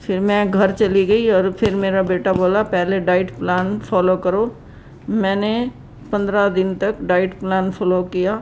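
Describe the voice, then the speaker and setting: A woman's voice of medium pitch, with very even loudness and fairly even intonation. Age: 60s. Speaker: patient. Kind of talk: testimony.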